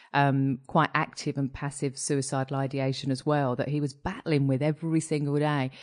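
A woman with a British accent, very deep and low in pitch, at a fairly quick pace over a quiet background. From UK. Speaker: mental health director. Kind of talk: casual chat.

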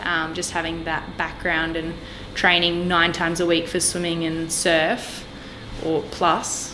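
Over noticeable background noise and audible room echo, a woman with an Australian accent speaks at a fairly slow pace. Her pitch is fairly low and her intonation monotone and flat. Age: 20s. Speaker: dietetics student and personal trainer. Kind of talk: casual interview chat.

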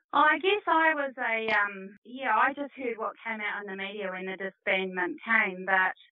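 A woman speaks at a moderate pace in a New Zealand accent, with lively intonation and hardly any pauses. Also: fairly high pitch for a woman. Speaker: netball coach. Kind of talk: interview answers. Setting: studio.

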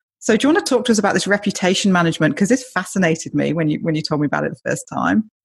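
A woman with a British accent talks very fast at a medium pitch, with lively intonation and vocal fry. The background is quiet. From Britain. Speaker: podcast host. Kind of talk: interview conversation.

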